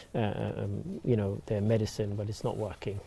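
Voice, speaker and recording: A man's voice comes through with a dark, mellow tone. It is somewhat breathy. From England. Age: 60s. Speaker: TV news presenter. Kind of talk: panel discussion. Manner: halting, many fillers.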